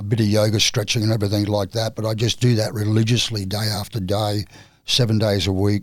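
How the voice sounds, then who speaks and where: A man with an Australian accent talks at a very fast pace with a fairly low pitch. The recording is very clean, with a silent background. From Australia, Queensland (North Stradbroke Island). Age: 60s. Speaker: surfer and retired carpenter. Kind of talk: casual interview chat.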